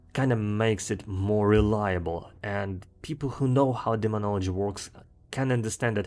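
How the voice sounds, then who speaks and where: A man with a strong Russian accent speaks at a moderate pace in a fairly low pitch with fairly even intonation, in a very clean recording with a silent background. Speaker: gaming video creator. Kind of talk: commentary monologue. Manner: frequent fillers and repetitions.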